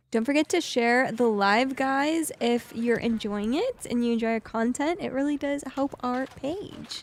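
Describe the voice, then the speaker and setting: A woman's high voice at a fairly slow pace, with ordinary pitch variation and hardly any pauses. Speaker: live streamer. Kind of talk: casual chat. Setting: live stream.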